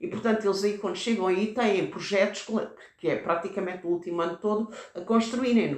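A woman talks at a fairly quick pace with ordinary pitch variation. There is noticeable background noise and audible room echo. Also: medium pitch for a woman. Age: 70s. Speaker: retired teacher, founder of an education association. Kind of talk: interview. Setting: on location at a school. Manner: halting.

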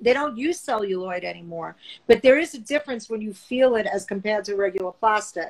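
Here a woman has an unremarkable speaking voice with a fairly high pitch. She talks at a moderate pace. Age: 50s. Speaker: vintage and antique dealer. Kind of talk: casual chat.

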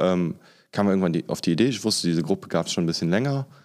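A very clean recording with a silent background of a man's very deep, low voice. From Germany. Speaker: anti-racism trainer. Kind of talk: casual interview.

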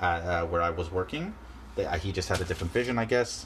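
There is noticeable background noise as a man speaks in a Canadian accent. His pitch is very deep and low. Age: 20s. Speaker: podcast host. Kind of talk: solo vlog-style monologue. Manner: halting, many fillers and restarts.

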